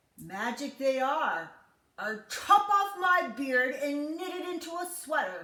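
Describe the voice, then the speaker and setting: In a put-on character voice, a woman speaks high and fairly slowly, with very wide pitch swings and big swings in loudness. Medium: read story.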